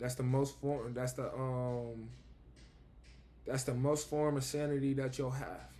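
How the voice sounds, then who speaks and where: Music plays in the background as a man talks at a medium pitch. His pace is fairly slow, his intonation monotone and flat, with long, frequent pauses. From Buffalo, New York, US. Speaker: vlogger. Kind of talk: casual spiritual monologue.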